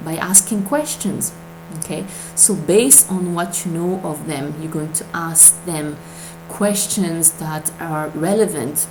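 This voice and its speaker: A woman with a non-native accent speaks with a very deep, low pitch and fairly even intonation at a fairly slow pace. Noticeable background noise and audible room echo fill the recording. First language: not English. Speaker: MLM recruiting coach. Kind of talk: tutorial. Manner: hesitant, many fillers.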